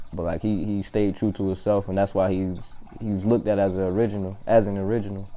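This man talks at a very fast pace in an American accent, his pitch fairly low. His tone is dark and mellow, and his intonation stays monotone and flat. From Columbia, South Carolina. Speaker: artist. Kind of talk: casual chat.

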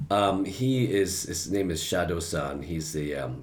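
A man with an American accent, somewhat breathy, at a moderate pace with lively intonation and audible room echo. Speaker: actor and voiceover artist. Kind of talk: casual chat.

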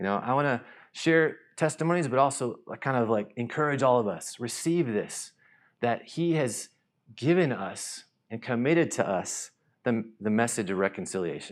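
A man with an American accent speaks at a moderate pace, his intonation lively and his pitch medium. It is an ordinary speaking voice, recorded very cleanly against a silent background. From US South, North Carolina. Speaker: missionary. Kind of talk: church talk. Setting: church stage with audience.

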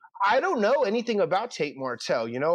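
A man talks in a Philadelphia accent at a fairly quick pace. The background is quiet. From Philadelphia (North Philly). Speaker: college football recruiting reporter. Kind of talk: casual chat.

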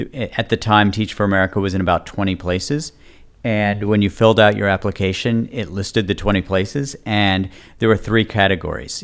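Fairly low in pitch, a man talks fairly quickly in an unremarkable speaking voice. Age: 40s. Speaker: politician and author. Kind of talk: interview conversation.

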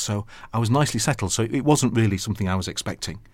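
Very fast speech from a man with a Yorkshire accent. The recording is very clean, with a silent background. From Yorkshire, northern England (Sheffield). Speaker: archbishop. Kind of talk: interview.

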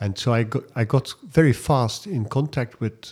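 With a Dutch accent, a man speaks at a fairly slow pace and with lively intonation, captured in a very clean recording over a silent background. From Netherlands. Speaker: writer and volunteer. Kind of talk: interview. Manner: halting.

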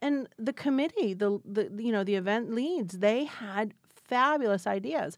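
Fairly high in pitch with lively intonation, a woman speaks in an unremarkable speaking voice. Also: fairly slow pace. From Florida, Spring Hill near Tampa. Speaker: downtown business association director. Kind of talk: interview.

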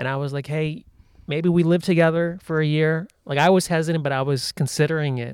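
Here is a man with a plain, everyday voice and an American accent. He talks at a fairly quick pace and a fairly high pitch, with fairly even intonation. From United States, Indian heritage. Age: 40s. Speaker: comedian. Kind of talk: casual chat.

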